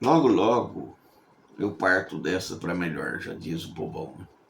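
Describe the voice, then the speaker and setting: A man speaks at a very slow pace. His voice is very deep and low, with audible room echo. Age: 70s. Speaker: preacher. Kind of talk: sermon. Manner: conversational, repeats words.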